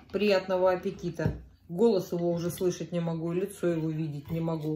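Over noticeable background noise, a woman with a fairly low pitch speaks at a moderate pace in a monotone, flat intonation. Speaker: eating vlogger. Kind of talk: casual vlog chat while eating. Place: home room. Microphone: phone near.

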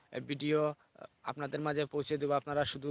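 This is a man with a normal speaking voice. It sits at a fairly high pitch. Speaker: village vlogger. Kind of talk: live stream vlog. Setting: outdoors. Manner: repetitive.

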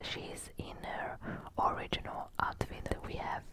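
A woman whispers very slowly. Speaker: ASMR creator. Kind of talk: ASMR show and tell haul. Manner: whispered. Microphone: studio mic.

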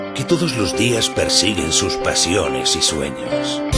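A man speaks at a fairly slow pace. Loud music plays in the background. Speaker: voice actor. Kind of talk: TV commercial read. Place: studio.

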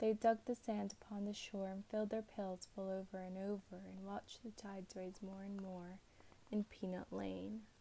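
A woman whispers at a moderate pace. She is soft-spoken. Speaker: ASMR creator. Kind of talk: ASMR bedtime story reading. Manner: soft-spoken, whispered. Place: home room. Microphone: earbuds.

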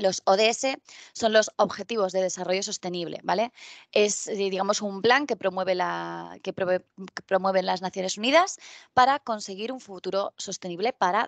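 Against a quiet background with a dry sound and no echo, a woman in a plain, everyday voice talks at medium pitch and a moderate pace. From Spain, Albacete (Castilla-La Mancha); Castilla-La Mancha, Spain. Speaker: tech conference speaker; conference speaker. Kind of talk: conference talk. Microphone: headset.

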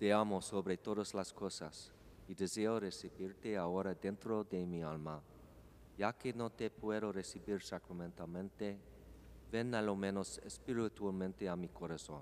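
The speech moves at a fairly slow pace with fairly even intonation. Light background noise is present. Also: man, fairly low pitch for a man. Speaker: congregation member; priest celebrating Mass. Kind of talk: prayer responses; liturgical prayer. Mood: reverent, calm. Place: church.

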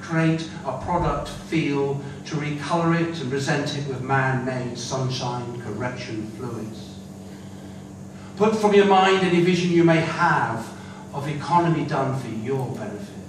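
Over noticeable background noise and audible room echo, a man with a northern English accent talks at a fairly slow pace with lively intonation. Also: fairly high pitch for a man. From northern England, Manchester. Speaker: poet. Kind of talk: poetry performance. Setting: stage with audience. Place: hall.

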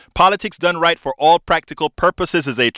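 The background is quiet. A man's voice comes through with a dry sound and no echo. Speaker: radio talk show host. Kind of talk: call-in radio show. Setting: radio studio. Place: studio.

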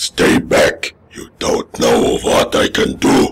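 A man puts on a raspy, cartoonish character voice and speaks at a very slow pace.

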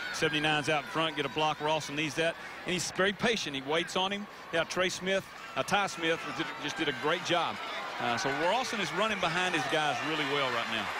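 A man talks at a fairly quick pace and fairly high pitch in an animated tone, with ordinary pitch variation. Background noise is noticeable. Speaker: football analyst. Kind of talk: live sports commentary. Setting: stadium broadcast booth. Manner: animated, quick-paced analysis between plays.

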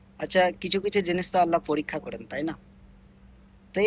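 This man has a high pitch with ordinary pitch variation. The recording is very clean, with a silent background. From India, Bengali-speaking region. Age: 20s. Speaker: migrant domestic worker and vlogger. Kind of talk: personal vlog monologue. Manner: halting, with many pauses and fillers.

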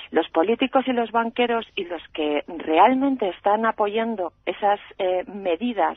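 At a very slow pace, a woman with a medium-pitched voice speaks with ordinary pitch variation, in a dry recording with no echo and a quiet background. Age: 40s. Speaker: radio caller. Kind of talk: call-in opinion. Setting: phone call. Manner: impassioned. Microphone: phone line.

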